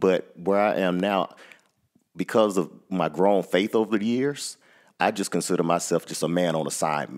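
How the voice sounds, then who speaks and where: Against a quiet background, a man with a very deep, low pitch speaks at a moderate pace with ordinary pitch variation. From Georgia, US South (DeKalb County). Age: 40s. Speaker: school principal and author. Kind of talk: interview. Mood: reflective, earnest. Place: studio. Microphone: headset.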